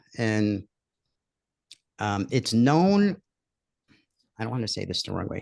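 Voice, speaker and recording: The speaker has a New York accent and a fairly slow pace. The intonation is lively. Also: man. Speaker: online course creator. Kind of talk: live webinar.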